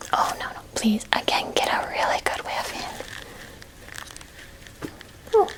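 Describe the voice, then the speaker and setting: A woman whispers in a gentle tone at a very slow pace. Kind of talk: ASMR roleplay, educational history talk. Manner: whispered, gentle, soft-spoken.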